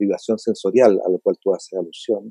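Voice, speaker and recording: A man talks at a fairly low pitch in a dark, mellow tone. The recording sounds dry and close, with no echo. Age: 70s. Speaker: psychiatrist. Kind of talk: interview.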